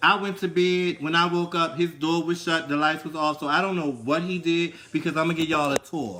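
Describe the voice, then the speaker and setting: Speaking at a fairly quick pace with hardly any pauses, a man with a Baltimore accent sounds animated, his pitch high. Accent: Baltimore accent, noticeable. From Baltimore, US. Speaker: livestream co-host. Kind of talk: casual chat. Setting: live stream from an Airbnb.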